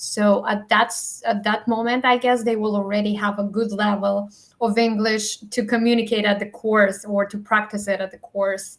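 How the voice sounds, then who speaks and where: A woman with a non-native accent speaks at a fairly high pitch and moderate pace, barely pausing. Her intonation is monotone and flat, with noticeable background noise. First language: not English. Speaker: educational advising webinar host. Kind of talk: webinar wrap-up. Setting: live online webinar.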